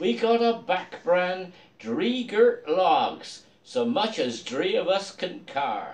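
A man speaks with a Dorset accent. His pace is very slow. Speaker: poetry reader in costume. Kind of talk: poetry reading. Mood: festive, jovial. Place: home room. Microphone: phone near.

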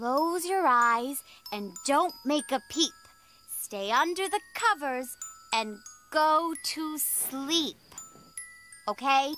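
A cartoonish character voice at a very slow pace, broken by long, frequent pauses. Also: female-sounding voice, high pitch for a woman. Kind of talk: bedtime story. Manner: warm, soothing.

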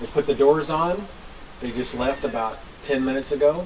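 The man's intonation stays fairly even at a moderate pace. Background noise is noticeable throughout. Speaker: homesteading vlogger. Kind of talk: casual vlog chat. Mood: proud, pleased. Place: open country. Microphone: camera far.

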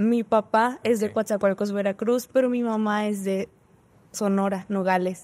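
Her intonation is monotone and flat at a medium pitch. The woman speaks at a fairly slow pace. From northern Mexico. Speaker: engineering student; podcast guest. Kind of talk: casual chat. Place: studio. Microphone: studio mic.

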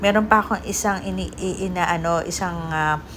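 With audible room echo, a woman speaks at a fairly slow pace. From Philippines. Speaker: vlogger. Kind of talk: casual vlog narration.

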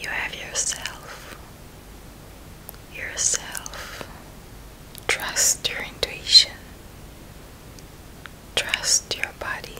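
Someone is whispering in a soothing, gentle tone at a very slow pace. Long, frequent pauses break up the words. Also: woman. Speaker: spiritual healer and meditation guide. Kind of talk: ASMR guided healing meditation. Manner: whispered, gentle; soft-spoken, slow, soothing. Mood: tender, meditative. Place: home room. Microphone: studio mic.

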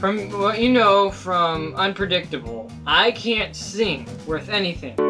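Clear music plays in the background. A man's voice is heard over it. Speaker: vlogger. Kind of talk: casual vlog chat. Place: home room. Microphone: webcam.

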